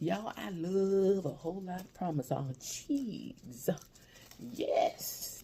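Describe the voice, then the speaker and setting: The speaker is a woman with a medium pitch and a dark, mellow tone. Vocal fry runs through her voice. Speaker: mukbang vlogger. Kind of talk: casual chat. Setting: at home.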